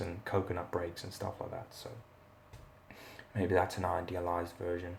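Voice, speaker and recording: A man's quiet voice, very deep and low in pitch, at a moderate pace. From South Africa. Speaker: martial arts instructor. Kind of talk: live Q&A. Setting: live stream from rental accommodation. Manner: quiet, talking low; halting, many fillers.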